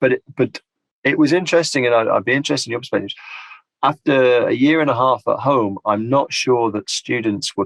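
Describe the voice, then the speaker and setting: Speaking at a fairly quick pace with a British accent, a man comes through on a very clean recording with a silent background. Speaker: applied linguistics lecturer. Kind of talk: podcast interview.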